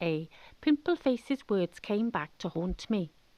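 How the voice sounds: With a South West Wales accent, a woman speaks at a fairly slow pace and with lively intonation in a dry, close sound with no echo. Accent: South West Welsh.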